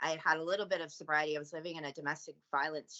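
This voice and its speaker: Here is a woman with a strong Canadian accent and a very deep, low pitch. Her intonation stays fairly even. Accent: thick Canadian. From Canada. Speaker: recovering addict and trafficking survivor. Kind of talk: public service announcement; podcast interview.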